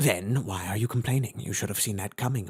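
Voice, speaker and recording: Talking fairly quickly, a man with a fairly low pitch performs a put-on character voice. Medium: read story. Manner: calm, measured.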